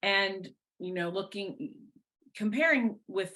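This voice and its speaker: A loud, bright, sharp voice with lively intonation and a fairly slow pace, against a quiet background. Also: woman. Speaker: person in long-term addiction recovery. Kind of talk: interview, personal testimony. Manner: loud, talkative.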